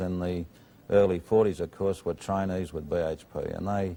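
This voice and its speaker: A man's very deep, low voice with a dark, mellow tone and an Australian accent, fairly even intonation and a moderate pace, on a very clean recording against a silent background. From Australia, Maitland, New South Wales. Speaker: steelworks general manager. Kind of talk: TV interview.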